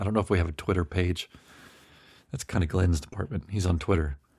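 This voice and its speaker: A very deep, low male voice, somewhat breathy. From US South, Memphis. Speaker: podcast host. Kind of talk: casual chat. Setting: video call.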